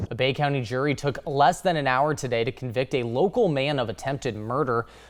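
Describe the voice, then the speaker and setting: Over a quiet background, a man with a normal speaking voice talks at a moderate pace and medium pitch with ordinary pitch variation. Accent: American. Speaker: television news anchor and reporter.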